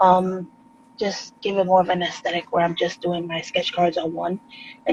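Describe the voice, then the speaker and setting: A woman talks very fast in a New York accent at a medium pitch. Noticeable background noise runs underneath. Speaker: artist. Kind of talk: casual chat.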